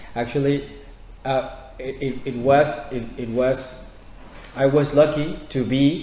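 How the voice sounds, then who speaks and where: In a Spanish accent, a man talks at a very slow pace with long, frequent pauses, fairly high pitch and monotone, flat intonation, amid audible room echo and noticeable background noise. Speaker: housing activist. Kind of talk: audience Q&A at a public talk. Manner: halting.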